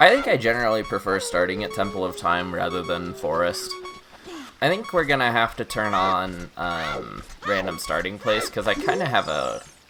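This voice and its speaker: A man is talking at a moderate pace. There is music in the background. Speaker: video game streamer. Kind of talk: live gameplay stream chat. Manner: quiet; halting.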